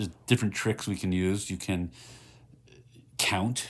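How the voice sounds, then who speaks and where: A man speaks in a very deep, low pitch with a calm tone and fairly even intonation. The recording is very clean, with a silent background. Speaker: meditation guide. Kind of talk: guided meditation. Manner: slow, calm.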